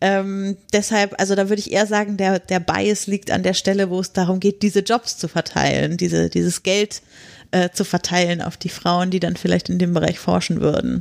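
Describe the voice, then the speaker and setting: Dry and close with no echo, this very clean recording with a silent background carries a monotone, flat delivery. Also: woman, medium pitch for a woman, moderate pace. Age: 30s. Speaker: podcaster. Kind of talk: casual interview. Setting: podcast conference.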